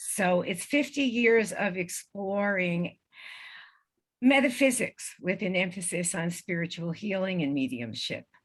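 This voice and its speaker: The woman talks fairly slowly, her voice somewhat breathy and her intonation lively. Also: medium pitch for a woman. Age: 70s. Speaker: spiritual healer and EVP researcher. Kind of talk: interview with slideshow.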